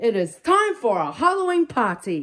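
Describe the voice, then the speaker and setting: A woman puts on a character voice pitched fairly high. Her pitch swings very widely. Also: moderate pace. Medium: read story.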